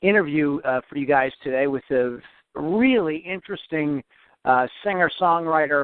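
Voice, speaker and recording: Here is a man with a plain, everyday voice and a fairly high pitch. He moves at a moderate pace with ordinary pitch variation. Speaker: podcast host. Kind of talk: interview questions. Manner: upbeat.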